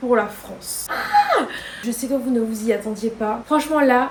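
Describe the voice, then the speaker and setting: A high-pitched woman's voice comes through over noticeable background noise. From Guadeloupe. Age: 20s. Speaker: lifestyle vlogger. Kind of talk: casual talk to camera.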